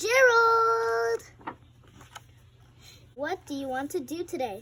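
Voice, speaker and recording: Using a put-on character voice, a woman speaks at a very slow pace and a high pitch. Her pitch swings very widely. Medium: read story.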